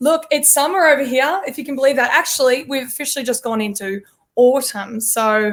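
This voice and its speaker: A woman with an Australian accent speaks at a fairly quick pace. Her pitch is high, with ordinary variation. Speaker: country pop singer. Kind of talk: interview podcast.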